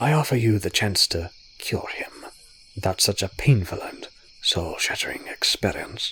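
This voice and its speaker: A man puts on a rumbling, gravelly character voice. He speaks at a medium pitch and a moderate pace. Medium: read story. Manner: condescending, sly.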